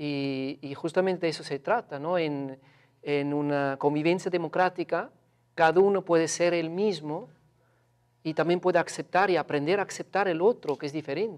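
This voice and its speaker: A high-pitched male voice at a moderate pace, with ordinary pitch variation and a quiet background. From Switzerland. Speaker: researcher. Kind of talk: interview. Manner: halting, hesitant. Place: studio. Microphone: lapel.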